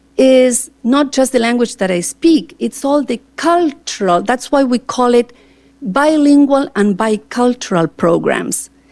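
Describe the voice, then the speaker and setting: A woman speaks very slowly with an Argentine accent. Her high pitch rises and falls in very wide swings. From Argentina, Cordoba. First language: Spanish. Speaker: teacher and school board candidate. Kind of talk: interview answers at public board meeting. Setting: board meeting with microphone. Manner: talkative.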